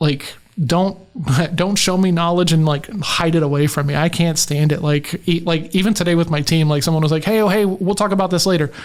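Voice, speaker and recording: The speech moves at a fairly quick pace with fairly even intonation, over noticeable background noise. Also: man, high pitch for a man. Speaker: sales coach. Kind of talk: casual chat. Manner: halting.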